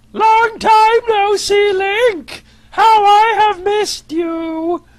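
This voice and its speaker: This is a put-on character voice, squeaky and extremely high in pitch. It moves at a very slow pace. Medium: read story.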